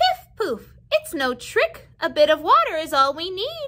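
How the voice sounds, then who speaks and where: A woman puts on a squeaky character voice at an extremely high pitch. She cackles as she goes. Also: moderate pace. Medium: read story.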